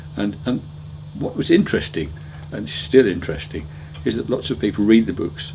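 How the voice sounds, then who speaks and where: With a dark, mellow, somewhat breathy tone, a man speaks at a moderate pace, his pitch swinging very widely between long, frequent pauses. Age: 60s. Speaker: motoring author. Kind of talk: interview answers. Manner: hesitant, with ums and repeated words.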